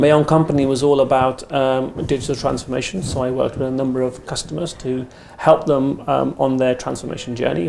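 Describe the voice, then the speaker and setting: With an English accent, a man talks at a fairly quick pace and a medium pitch. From England, Indian parents. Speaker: retail technology executive. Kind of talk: podcast interview. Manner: hesitant, many fillers.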